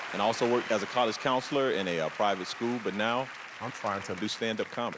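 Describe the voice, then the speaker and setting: Amid crowd noise and audible room echo, a man with an American accent and medium pitch talks at a very fast pace with ordinary pitch variation. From US South, South Carolina. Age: 40s. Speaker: stand-up comedian. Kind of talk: stand-up. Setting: stage with audience.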